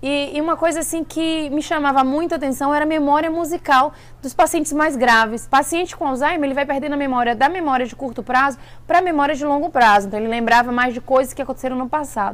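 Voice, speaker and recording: A very fast woman's voice, high in pitch with ordinary pitch variation, on a very clean recording with a silent background. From Bahia, Brazil. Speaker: vlogger. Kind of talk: casual vlog talk. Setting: at an event in California.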